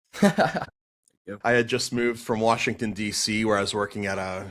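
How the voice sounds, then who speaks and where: A fairly low-pitched man with a Boston accent, at a moderate pace. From Boston, US. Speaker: pastor and apologetics speaker. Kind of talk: podcast interview, telling his testimony. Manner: animated storytelling with many fillers.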